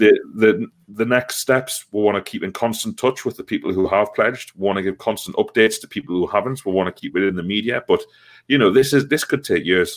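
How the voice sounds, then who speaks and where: Someone talks at a fairly quick pace with a Geordie accent on a very clean recording with a silent background. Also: man. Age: 30s. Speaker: football supporters' trust organiser. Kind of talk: casual interview. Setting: call.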